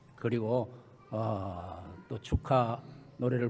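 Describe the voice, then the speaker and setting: Heard with audible room echo, a man speaks at a very slow pace. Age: 80s. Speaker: retired church leader. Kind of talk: speech. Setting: church. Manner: halting.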